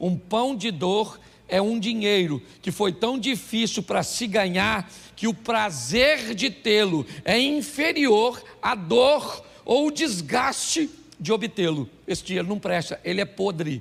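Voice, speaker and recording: His pitch is high and his intonation lively. The man speaks at a very slow pace. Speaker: pastor. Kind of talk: sermon.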